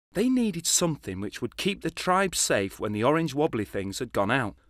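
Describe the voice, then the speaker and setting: Very wide pitch swings mark this fairly quick delivery. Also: man, dry, close sound with no echo. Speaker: narrator; actor. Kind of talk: children's animated short narration. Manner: playful, comic.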